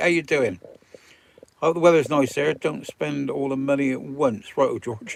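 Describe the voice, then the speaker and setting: Over noticeable background noise, a man with a West Country accent speaks at a moderate pace, his fairly high pitch showing ordinary pitch variation. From Wiltshire, England. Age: 70s. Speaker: vanlife live streamer. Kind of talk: live stream chat reading comments. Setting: in a camper van.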